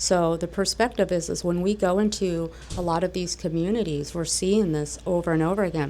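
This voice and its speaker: A woman at a fairly low pitch and a fairly quick pace. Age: 50s. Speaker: cat rescuer. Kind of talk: panel discussion.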